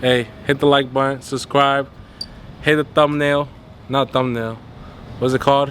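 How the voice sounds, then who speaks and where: Amid noticeable background noise, a man talks at a fairly high pitch and a fairly slow pace, his intonation monotone and flat, with long, frequent pauses. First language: not English. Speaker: car vlogger. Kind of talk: casual vlog.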